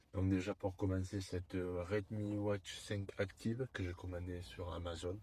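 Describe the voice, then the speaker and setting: A man with a Toulouse accent speaks at a fairly slow pace in a fairly low, dark and mellow voice, his intonation monotone and flat, on a very clean recording with a silent background. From southern France, Toulouse. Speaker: YouTuber. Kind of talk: product unboxing. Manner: hesitant, many fillers.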